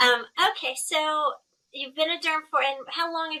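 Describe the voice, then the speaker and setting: A woman in a slight Texan accent, raised and projected, bright and sharp in tone, at a moderate pace. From Texas. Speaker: dermatologist, interviewer. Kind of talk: casual professional interview.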